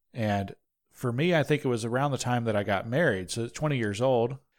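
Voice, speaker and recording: A man with a Southern US accent speaks at a fairly quick pace and a medium pitch. His pitch varies in an ordinary way, on a very clean recording with a silent background. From North Georgia. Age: 20s. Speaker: podcast host. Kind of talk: casual chat.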